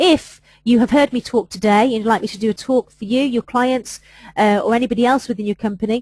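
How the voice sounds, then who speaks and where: At a very fast pace, a woman with an English accent speaks at a fairly high pitch with ordinary pitch variation. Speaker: HR adviser presenting webinars. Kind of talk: webinar presentation.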